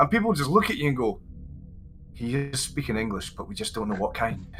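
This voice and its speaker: A man's fairly high voice with a slight Scottish accent, very wide pitch swings and a fairly quick pace, music in the background. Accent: mild Scottish. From Scotland. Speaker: English teacher and content creator. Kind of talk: interview chat. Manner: fast by nature.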